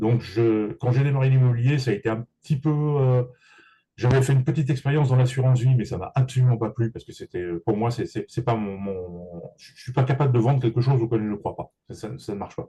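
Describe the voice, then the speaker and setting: Somewhat breathy and dark, mellow in tone, the voice moves at a fairly quick pace with ordinary pitch variation and big swings in loudness. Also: man, medium pitch for a man. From Paris region, France. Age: 60s. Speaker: real estate agent and business coach. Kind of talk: interview. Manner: halting, many repetitions.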